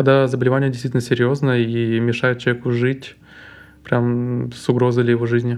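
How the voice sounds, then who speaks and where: A man of medium pitch talks at a fairly quick pace in a monotone, flat intonation. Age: 20s. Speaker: guest living with mental illness. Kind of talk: personal testimony.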